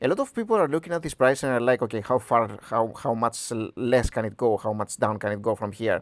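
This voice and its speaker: Talking at a very fast pace with hardly any pauses, a man with a Greek accent uses a medium pitch and ordinary pitch variation, the sound dry and close with no echo in a very clean recording with a silent background. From Greece. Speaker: stock analysis youtuber. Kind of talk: tutorial. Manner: halting.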